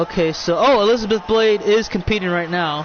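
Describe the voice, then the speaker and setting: A fairly quick pace with ordinary pitch variation, music in the background. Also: man. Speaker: streamer hosting wrestling video game show. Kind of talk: live commentary. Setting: live stream. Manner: fast; halting.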